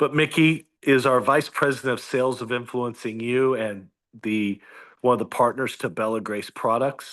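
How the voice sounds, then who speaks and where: Here is a plain, everyday voice of a man at medium pitch. He keeps a moderate pace and fairly even intonation against a quiet background. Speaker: business coach. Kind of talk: video call presentation. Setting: video call.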